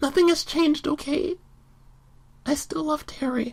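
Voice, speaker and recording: A woman puts on a character voice, speaking at a high pitch and a moderate pace. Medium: audio drama. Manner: emotional.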